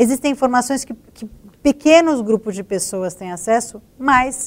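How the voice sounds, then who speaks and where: A woman with an ordinary speaking voice talks at a moderate pace, using ordinary pitch variation. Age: 40s. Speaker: investigative journalist, news agency director. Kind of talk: panel discussion.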